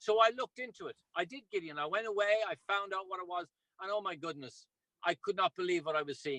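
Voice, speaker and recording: A man speaks at a very fast pace in a high, bright, sharp voice that is raised and projected. His pitch varies in an ordinary way, and the sound is dry and close with no echo. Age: 60s. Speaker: ultramarathon runner and product promoter. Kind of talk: video call presentation. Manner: animated.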